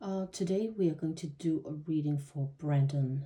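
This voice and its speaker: A woman with a non-native accent speaks at a fairly slow pace in a very deep, low voice. Her tone is dark and mellow and somewhat breathy. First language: not English. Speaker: tarot reader. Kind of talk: tarot reading monologue. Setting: home, seated at table. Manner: halting, many fillers.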